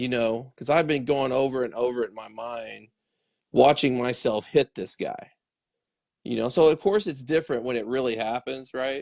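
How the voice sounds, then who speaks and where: This man uses an ordinary speaking voice at medium pitch. He moves at a moderate pace with ordinary pitch variation. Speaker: baseball training show host. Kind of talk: casual conversation.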